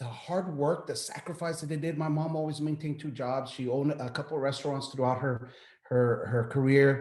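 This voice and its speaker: This man talks at a fairly quick pace in a somewhat breathy, fairly high voice, his intonation fairly even. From Texas, El Paso. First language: Spanish. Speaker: military veteran, business owner. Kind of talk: interview. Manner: halting, many repeated words.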